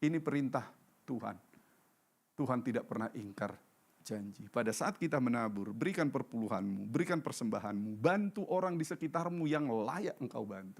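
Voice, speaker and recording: At a moderate pace, a man of medium pitch speaks with very wide pitch swings. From North Sumatra, Indonesia. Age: 60s. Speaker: pastor. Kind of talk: sermon.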